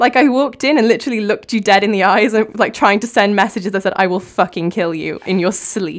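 A woman with a Cardiff accent talks at a very fast pace in a very clean recording with a silent background. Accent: Welsh (Cardiff). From Wales. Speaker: aspiring writer. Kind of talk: casual chat. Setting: studio.

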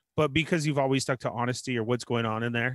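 At a fairly quick pace, a man speaks with a plain, everyday voice at a medium pitch. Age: 40s. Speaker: toy collecting podcast co-host. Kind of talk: casual chat.

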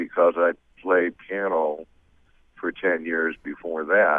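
A man with an American accent at a very slow pace, in a dry, close sound with no echo. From Massachusetts, US. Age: 70s. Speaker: blues musician. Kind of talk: radio interview.

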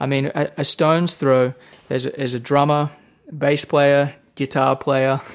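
A man with an Australian accent, fairly high-pitched, flat and monotone, at a moderate pace. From Australia, rural New South Wales. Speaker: guitarist. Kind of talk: casual interview.

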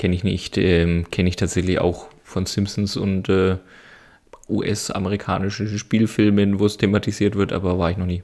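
On a very clean recording with a silent background, a man with a very deep, low pitch speaks at a moderate pace in a monotone, flat intonation. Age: 30s. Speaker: podcast co-host. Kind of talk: casual chat.

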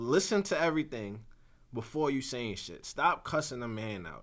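A man's bright, sharp voice at a moderate pace, with very wide swings in pitch. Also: very clean recording, silent background. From New York, Brooklyn. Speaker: podcast co-host. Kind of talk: casual chat.

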